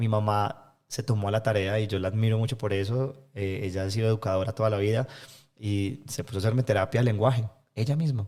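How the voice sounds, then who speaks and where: At a fairly quick pace, a man speaks with fairly low pitch and ordinary pitch variation. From Colombia, Medellín. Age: 20s. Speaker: environmental NGO leader. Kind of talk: interview conversation. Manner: fast.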